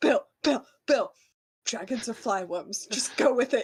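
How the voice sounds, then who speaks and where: A put-on character voice sits at a fairly high pitch with ordinary pitch variation. It moves at a fairly slow pace. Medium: actual play.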